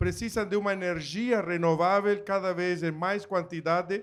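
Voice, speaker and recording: A man speaks at a moderate pace in a high pitch. The recording is very clean, with a silent background. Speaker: agricultural machinery company executive. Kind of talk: panel talk.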